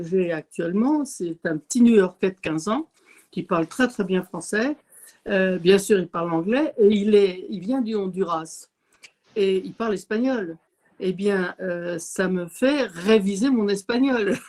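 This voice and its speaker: A woman speaks at a very slow pace in a dark, mellow tone of medium pitch with ordinary pitch variation. The sound is dry and close, with no echo. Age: 70s. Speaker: retired volunteer sharing testimony. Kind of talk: testimony. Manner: halting.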